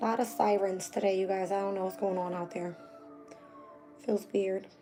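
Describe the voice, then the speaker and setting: A woman at a medium pitch and moderate pace, with monotone, flat intonation and noticeable background noise. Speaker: astrology and tarot reader. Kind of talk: live stream chat with viewers. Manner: casual, many fillers.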